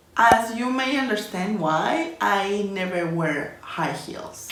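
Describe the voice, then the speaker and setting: With very wide pitch swings and a fairly high pitch, a woman speaks very slowly in a Spanish accent over noticeable background noise. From Colombia. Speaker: illustration and design YouTuber. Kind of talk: casual vlog talking to camera.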